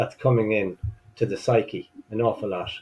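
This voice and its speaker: A man at a medium pitch, with an Irish accent. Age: 60s. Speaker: masters rower. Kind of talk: casual chat.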